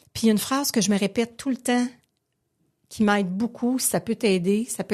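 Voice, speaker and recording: Somewhat breathy, a woman speaks at a medium pitch with ordinary variation over a quiet background. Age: 50s. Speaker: recovering alcoholic sharing story. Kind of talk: testimony. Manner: animated.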